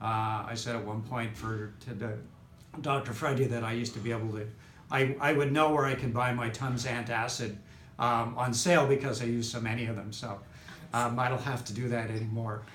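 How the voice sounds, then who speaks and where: Audible room echo accompanies fairly quick speech with fairly even intonation. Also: man, medium pitch for a man. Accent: Canadian. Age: 60s. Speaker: chiropractic patient. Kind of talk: testimonial interview. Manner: halting, many fillers.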